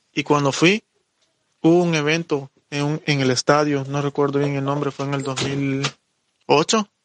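Recorded with a dry, close sound and no echo, a man speaks at a fairly high pitch. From Honduras. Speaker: hip hop dancer and migrant. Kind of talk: personal testimony interview.

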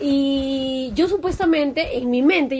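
Her voice high-pitched, a woman talks with lively intonation. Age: 20s. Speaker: podcast co-host. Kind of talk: casual chat.

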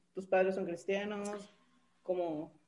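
A woman with a Mexican accent speaks in a dark, mellow tone. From Mexico. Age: 30s. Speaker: podcast co-host. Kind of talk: interview.

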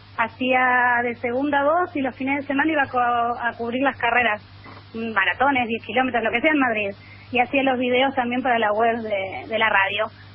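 This woman's voice sits high, with ordinary pitch variation and a moderate pace. Noticeable background noise runs underneath. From Argentina, Junín, Buenos Aires province. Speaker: journalist and running columnist. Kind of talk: radio interview. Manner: animated.

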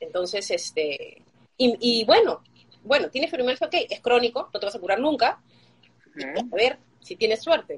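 Long, frequent pauses break up this woman's high-pitched speech at a moderate pace. Her pitch swings very widely and her loudness swings a lot. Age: 40s. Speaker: fibromyalgia patient sharing her story. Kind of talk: interview testimony.

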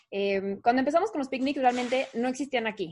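Woman talking at a very fast pace with ordinary pitch variation. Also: quiet background. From Mexico City. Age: 30s. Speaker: event company co-founder. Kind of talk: casual interview.

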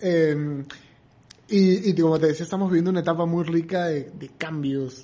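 A man's high-pitched voice at a fairly slow pace. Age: 30s. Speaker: comedian and entrepreneur. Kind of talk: casual chat.

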